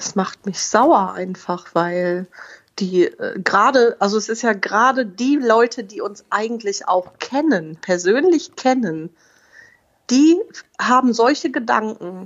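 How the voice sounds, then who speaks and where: Lively intonation at a very slow pace, in a Rhineland accent. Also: woman, fairly high pitch for a woman. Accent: regional Rhineland German accent, noticeable. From Oberbergisches Land, western Germany. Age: 30s. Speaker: mother and family blogger. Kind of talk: interview.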